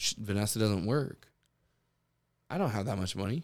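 Fairly low pitch from a man on a very clean recording with a silent background. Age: 30s. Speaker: podcast host. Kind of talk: casual chat.

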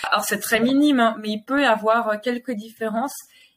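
In an ordinary speaking voice, a woman talks at a moderate pace and a fairly high pitch with fairly even intonation. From Geneva, Switzerland. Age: 30s. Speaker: sign language teacher and family centre owner. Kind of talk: interview.

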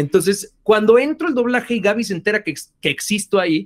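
Lively intonation marks the delivery. The man talks very fast. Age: 30s. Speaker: voice actor and singer. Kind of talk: interview.

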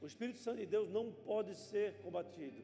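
Audible room echo and noticeable background noise surround a man speaking at a moderate pace in a high voice. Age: 50s. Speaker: pastor. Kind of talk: sermon.

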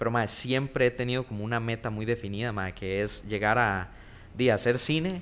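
A man with a Costa Rican accent speaks at a medium pitch. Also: ordinary pitch variation, moderate pace. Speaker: TikTok content creator. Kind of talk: casual chat.

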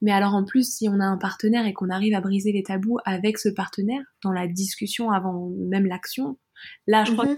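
On a very clean recording with a silent background, a woman's somewhat breathy voice sits at a fairly high pitch with fairly even intonation. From France. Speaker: adult audio performer and podcaster. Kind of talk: interview conversation.

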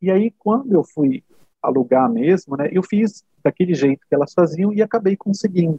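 A man speaks at a moderate pace with a high pitch. His intonation is lively and his loudness stays very even. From Brazil. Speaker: HR software consultant. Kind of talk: interview conversation.

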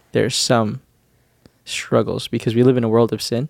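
With a Canadian accent, a man speaks fairly quickly at a medium pitch in a monotone, flat intonation, recorded dry and close with no echo, very clean over a silent background. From Canadian Prairies (Winnipeg, Manitoba). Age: 20s. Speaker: church teacher and podcast co-host. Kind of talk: casual chat. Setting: studio, seated on a couch.

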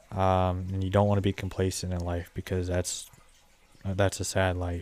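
This is a man with an American accent. His voice is very deep and low. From Southwest Ohio. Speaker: podcast host and landscaping business owner. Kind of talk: solo podcast monologue, casual. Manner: monotone, filler words, informal; halting, many ums.

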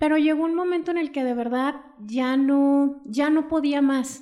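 A woman with ordinary pitch variation. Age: 40s. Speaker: essential oils seller. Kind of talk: casual chat. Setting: in person.

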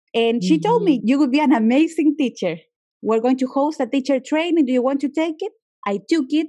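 Her voice is high with a dark, mellow tone. The woman talks at a fairly quick pace with lively intonation. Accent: Spanish. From Chile. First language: Spanish. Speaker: yoga teacher and journalist. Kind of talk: interview.

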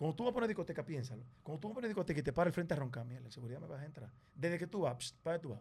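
Talking very fast, a man lets his pitch leap up and down across a very wide range. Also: fairly high pitch for a man, big swings in loudness. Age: 30s. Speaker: television presenter. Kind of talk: casual chat.

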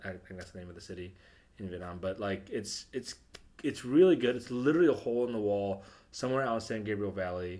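Speaking very fast with an American accent, a man has a fairly low pitch, a dark, mellow tone, ordinary pitch variation and big swings in loudness. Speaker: comedian. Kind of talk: casual chat.

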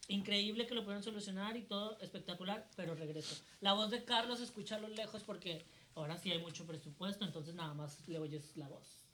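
The speech moves at a fairly quick pace with noticeable background noise behind it. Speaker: drag performer and podcast co-host. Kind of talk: casual chat. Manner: animated.

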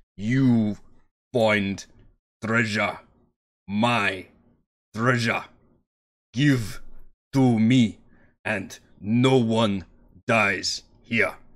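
Using a put-on character voice at medium pitch, a man speaks at a very slow pace with long, frequent pauses. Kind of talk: broken, halting common tongue. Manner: smug, grinning, menacing.

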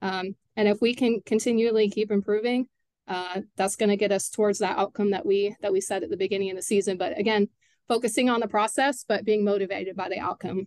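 A woman speaks at a fairly quick pace in a normal speaking voice, her medium pitch heard in a dry, close sound with no echo. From Texas (Katy area). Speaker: high school soccer coach. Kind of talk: casual interview.

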